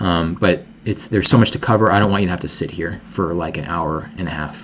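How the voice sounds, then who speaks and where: The pace is fairly quick, with ordinary pitch variation. Noticeable background noise runs throughout. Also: man, very deep, low pitch for a man. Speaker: product researcher and marketing consultant. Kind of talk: product demo presentation.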